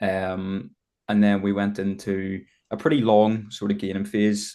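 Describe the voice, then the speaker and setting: A man speaks with a Northern Irish accent. His fairly low voice has a dark, mellow tone. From Northern Ireland, Belfast. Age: 20s. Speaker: bodybuilder. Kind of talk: podcast interview.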